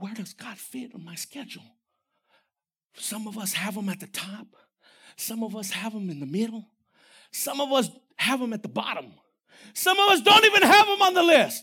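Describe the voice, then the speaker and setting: A man's extremely high-pitched, raised and projected voice, animated in tone, with very wide pitch swings, a moderate pace and long, frequent pauses. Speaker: preacher. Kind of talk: sermon. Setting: church with congregation and online audience. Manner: animated, fervent, preacher in full flow with rising emphasis; direct, exhorting the congregation and listeners at home.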